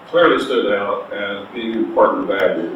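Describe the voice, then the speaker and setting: A man with an American accent at a moderate pace, with audible room echo and noticeable background noise. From US Midwest, Missouri. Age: 80s+. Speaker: interviewee. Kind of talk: oral history interview. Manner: halting, many fillers.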